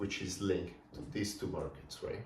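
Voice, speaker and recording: A fairly quick delivery in a Spanish accent, with noticeable background noise and audible room echo. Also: man. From Colombia. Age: 20s. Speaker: entrepreneur vlogger. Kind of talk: casual vlog monologue. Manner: thinking out loud, conversational.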